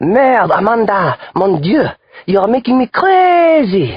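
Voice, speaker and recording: A female-sounding put-on character voice uses a French accent at a fairly high pitch. It swings very widely in pitch and moves at a fairly slow pace. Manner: exasperated.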